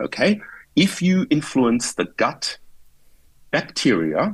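Over a quiet background, a man speaks with vocal fry and very wide pitch swings. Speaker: guest. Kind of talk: interview answer. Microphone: earbuds.

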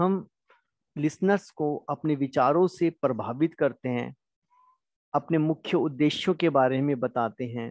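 Recorded with a dry, close sound with no echo against a quiet background, a man has a plain, everyday voice, a fairly high pitch and ordinary pitch variation. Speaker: college lecturer. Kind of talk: lecture.

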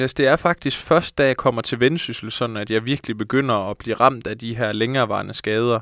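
This man talks at a fairly quick pace. The sound is dry with no echo, and the background is quiet. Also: hardly any pauses. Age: 20s. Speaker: professional footballer; guest. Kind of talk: casual interview. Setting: studio. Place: studio. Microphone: handheld.

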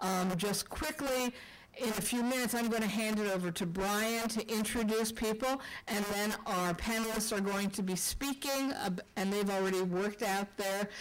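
A woman's voice with very even loudness, fairly even intonation and a moderate pace. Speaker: elected official hosting a public forum. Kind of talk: public address opening remarks. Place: meeting room. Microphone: podium.

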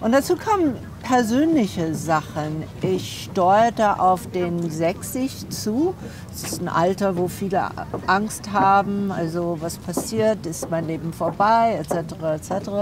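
A woman speaks at a very slow pace with ordinary pitch variation. The sound is dry with no echo, though noticeable background noise is present. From USA. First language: English (speaking German). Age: 60s. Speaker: philosopher; interviewee. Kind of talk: interview; interview answer. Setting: at her home. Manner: hesitant, many fillers. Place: cafe. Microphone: lapel.

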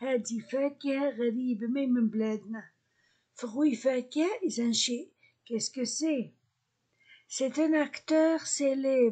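The woman talks very slowly, with long and frequent pauses, in a high, dark, mellow voice. Her pitch moves in an ordinary way. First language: Arabic (speaking French). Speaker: French teacher. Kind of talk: language lesson.

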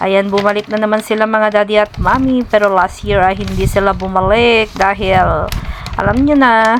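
Noticeable background noise sits under the voice. The woman speaks at a medium pitch with ordinary pitch variation. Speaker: caretaker vlogger. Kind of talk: casual vlog.

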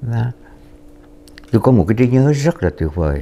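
Pitch swings very widely as a man speaks at a fairly slow pace. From southern Vietnam, Saigon. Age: 80s+. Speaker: war veteran. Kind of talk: testimony. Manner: halting.

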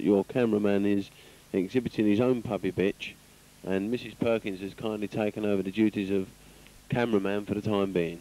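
A man with a normal speaking voice, fairly low in pitch, talks at a fairly quick pace with fairly even intonation, the sound dry with no echo. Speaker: show commentator. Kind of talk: commentary.

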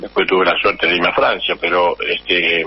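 Noticeable background noise around a man with a Rioplatense accent at a moderate pace. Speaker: former footballer. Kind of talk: radio interview.

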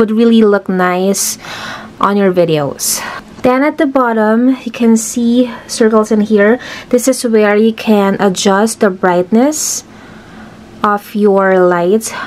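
Here a woman talks at a very slow pace. Her pitch varies in an ordinary way. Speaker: product reviewer. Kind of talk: product demo tutorial. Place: home room.

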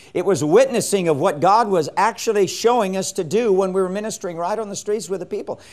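A man's very fast, lively-intoned speech against a quiet background. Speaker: evangelism teacher. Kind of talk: lecture. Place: studio. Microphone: lapel.

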